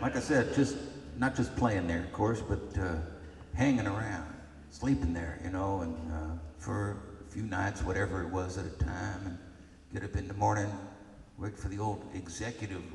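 A man's very deep, low voice at a moderate pace, with ordinary pitch variation, long, frequent pauses and audible room echo. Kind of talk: storytelling between songs. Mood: relaxed, reminiscing. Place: stage. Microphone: camera far.

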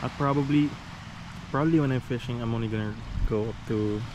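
A man at a moderate pace, with ordinary pitch variation

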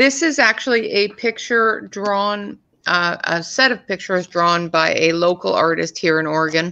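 Very even in loudness, a woman's bright, sharp voice comes through in a Canadian accent. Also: ordinary pitch variation, moderate pace, hardly any pauses. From Canada. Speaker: coloring channel co-host. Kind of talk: casual chat. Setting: video call. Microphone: video call.

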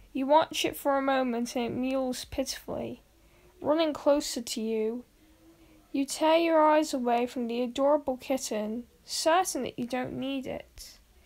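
A woman speaks at a high pitch and a moderate pace. Her tone is playful, with fairly even intonation. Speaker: YouTuber reading a story. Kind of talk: scripted story reading, bedtime-style creepypasta narration. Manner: soft, gentle, storyteller pacing; second-person narration with a playful, building suspense. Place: home room.

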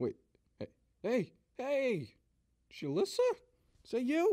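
A man puts on a cartoonish character voice at an extremely high pitch. He speaks at a fairly slow pace. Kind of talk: comedy cartoon dialogue.

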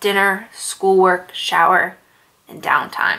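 The woman talks at a moderate speed. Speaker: storyteller. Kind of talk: scary story narration. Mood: soft, tense, somber. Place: home room.

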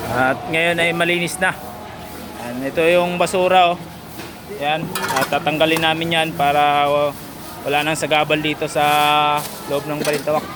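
Over noticeable background noise, a man speaks at a moderate pace and a fairly high pitch, with fairly even intonation and long, frequent pauses. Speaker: market porter and vlogger. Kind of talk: casual vlog narration.

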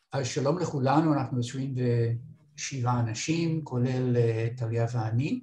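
A man speaking at a very slow pace with fairly even intonation, amid audible room echo and light background noise. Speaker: retired instructor filling in to teach course software. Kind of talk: online training workshop. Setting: video call. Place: office. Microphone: webcam.

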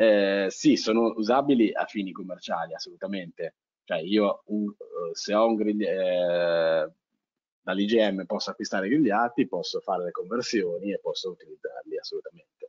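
A man talks at a moderate pace over a quiet background. The sound is dry, with no echo. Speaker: GIS webinar presenter; webinar presenter. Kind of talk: webinar lecture. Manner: halting, many fillers and repetitions. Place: home room. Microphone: headset.

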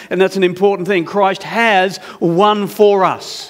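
Pitched high, a man talks at a fairly slow pace. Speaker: preacher. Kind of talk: sermon. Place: church. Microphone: headset.

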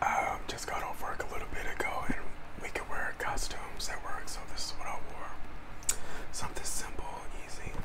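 A man keeps to a moderate pace while whispering. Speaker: ASMR creator. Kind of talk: ASMR eating video talk to camera. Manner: whispered. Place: home room. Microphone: lapel.

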